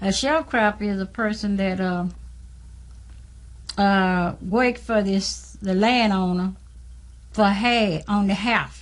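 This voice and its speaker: A woman speaks at a very slow pace and medium pitch, somewhat breathy, with fairly even intonation and long, frequent pauses. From US South, Mississippi Delta. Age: 60s. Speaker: former sharecropper. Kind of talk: documentary interview.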